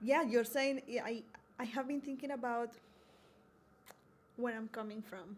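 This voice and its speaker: A woman with a Colombian accent speaks at a moderate pace with long, frequent pauses. Her high voice keeps fairly even intonation but swings widely in loudness. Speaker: university diversity coordinator. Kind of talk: podcast interview.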